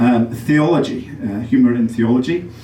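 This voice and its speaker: Someone with an English accent speaks at a moderate pace. There is noticeable background noise and audible room echo. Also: man. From England, Derby. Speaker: comedian. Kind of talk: stand-up. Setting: stage with audience. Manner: halting.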